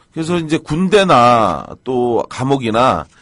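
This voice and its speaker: A man does the talking, his intonation lively. His voice sits at a medium pitch. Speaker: crime story commentator. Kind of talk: casual chat. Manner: energetic.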